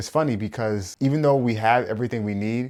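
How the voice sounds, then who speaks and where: A man with an unremarkable speaking voice talks at a fairly quick pace and fairly low pitch on a very clean recording with a silent background. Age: young. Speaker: commentator reacting to interviews. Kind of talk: video commentary.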